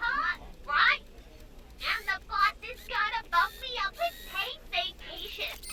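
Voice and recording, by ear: A woman's put-on character voice, extremely high and slow, with big pitch swings, a bright, sharp tone and faint background noise.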